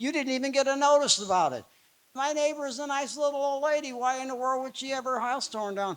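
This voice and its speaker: Talking at a fairly quick pace, a man delivers his words. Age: 80s+. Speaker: political candidate. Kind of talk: candidate debate statement. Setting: stage with audience. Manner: halting.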